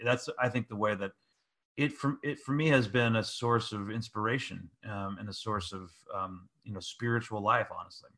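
Speaking at a fairly quick pace, a man with an American accent has a medium pitch and ordinary pitch variation. His tone is bright and sharp, and the background is quiet. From US, San Francisco Bay Area. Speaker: pastor and author. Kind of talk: interview conversation.

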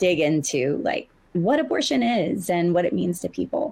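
With an American accent, a woman talks in an ordinary speaking voice at a fairly low pitch, using lively intonation at a moderate pace. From US South. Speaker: abortion fund deputy director. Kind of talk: panel discussion. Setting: stage with audience.

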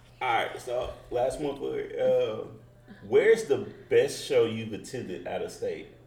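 Here a man talks at a fairly slow pace. Noticeable background noise runs behind him. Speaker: podcast host. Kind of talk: casual interview chat.

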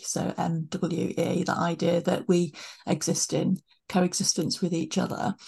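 The voice has a dark, mellow tone and is somewhat breathy. Its intonation stays fairly even. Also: woman. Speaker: podcast host. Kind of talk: interview conversation.

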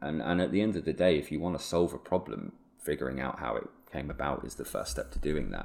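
A man speaks very fast with a southern English accent. His voice is very deep and low, with vocal fry and ordinary pitch variation. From southeast England (Hertfordshire). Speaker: photographer and local historian. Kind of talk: interview conversation.

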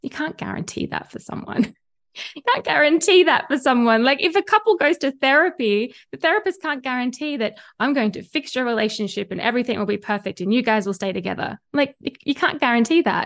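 A woman with an Australian accent, high in pitch and with very wide pitch swings, at a fairly quick pace over a quiet background. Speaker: spiritual mentor and tarot reader. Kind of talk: casual interview conversation.

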